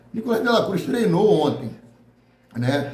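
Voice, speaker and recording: The man's intonation is lively. Room echo is audible around him. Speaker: football news youtuber. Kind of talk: casual news commentary.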